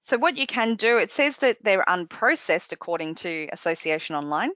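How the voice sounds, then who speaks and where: Her pitch fairly high, a woman talks at a fairly quick pace with very wide pitch swings. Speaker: software trainer presenting a webcast. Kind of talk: software tutorial webcast. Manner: fast.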